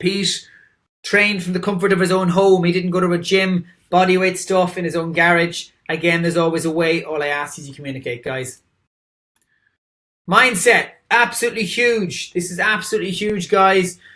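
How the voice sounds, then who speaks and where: Speaking at a moderate pace with an Irish accent, a man has a high pitch, a bright, sharp tone and ordinary pitch variation. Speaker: dietitian. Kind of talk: presentation. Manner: animated.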